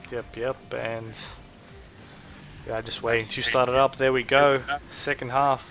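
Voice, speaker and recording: Over music in the background, a man with an Australian accent speaks in a monotone, flat intonation at a medium pitch, keeping a fairly slow pace with long, frequent pauses. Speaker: esports shoutcaster. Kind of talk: live esports shoutcast commentary.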